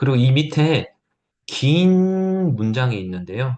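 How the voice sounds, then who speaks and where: Against a quiet background, a man is speaking. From Gyeongsang province, South Korea (Gyeongju). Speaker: teacher / edtech seminar instructor. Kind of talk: tutorial.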